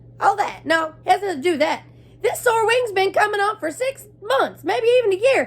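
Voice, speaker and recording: A woman uses a put-on character voice pitched extremely high. She speaks at a fairly quick pace. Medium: read story. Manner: rambling, complaining.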